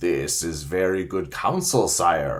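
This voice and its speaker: Using a croaky, put-on character voice, a man speaks at a fairly slow pace with a very deep, low pitch. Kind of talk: formal, courtly.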